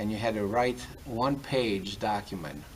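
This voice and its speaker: Amid noticeable background noise and audible room echo, a man with a fairly low pitch speaks at a fairly slow pace. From Greece. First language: Greek. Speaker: university development director. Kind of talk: casual interview. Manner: hesitant, many fillers.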